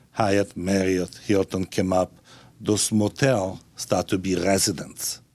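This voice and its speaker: The speaker has an Italian accent and moves at a fairly slow pace. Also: man. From Italy. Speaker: restaurateur and philanthropist. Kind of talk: speech to an audience. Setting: stage with audience.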